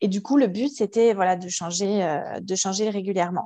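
A woman speaks at a moderate pace. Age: 30s. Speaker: ultra-trail runner with endometriosis. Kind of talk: testimony. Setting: video call.

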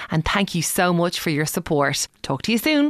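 In a Dublin accent, a woman speaks at a moderate pace with a fairly low pitch and lively intonation. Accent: Dublin Irish. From Ireland, Dublin. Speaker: radio broadcaster, podcast co-host. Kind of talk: casual chat.

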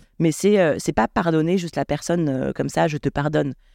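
At a moderate pace, the speaking fills a very clean recording over a silent background. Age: 30s. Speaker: shop owner. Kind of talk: casual chat. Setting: shop. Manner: halting.

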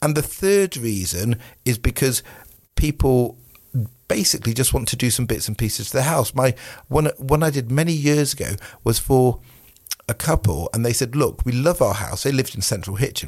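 A man with a British accent speaks fairly quickly at a medium pitch with lively intonation. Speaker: mortgage adviser. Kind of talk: casual chat.

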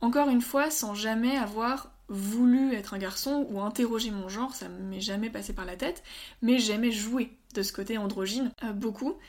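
On a very clean recording with a silent background, a woman with a normal speaking voice talks at a moderate pace with a fairly high pitch, ordinary pitch variation and big swings in loudness. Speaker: medical student. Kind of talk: interview.

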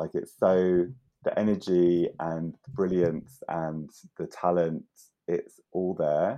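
A man with a London accent. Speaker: artist and curator. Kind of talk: casual chat.

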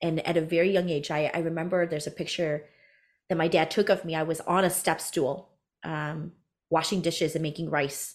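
On a very clean recording with a silent background, a woman with an American accent speaks at a moderate pace in an unremarkable speaking voice. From US, Hmong American family. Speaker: business coach for career coaches. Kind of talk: interview, storytelling.

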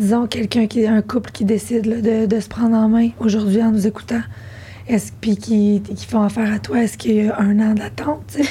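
Noticeable background noise can be heard. Over it, a woman speaks at a fairly quick pace. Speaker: podcast host. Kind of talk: casual chat.

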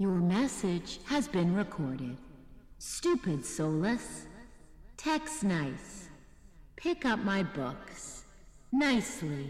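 A female-sounding voice at medium pitch swings very widely in pitch, with a clear echo around it. The pace is very slow, broken by long, frequent pauses.

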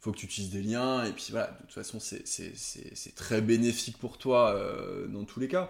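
A man with a medium pitch and ordinary pitch variation, at a moderate pace, on a very clean recording with a silent background. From Savoie, France. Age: 30s. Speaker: banker. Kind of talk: casual interview. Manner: calm; halting.

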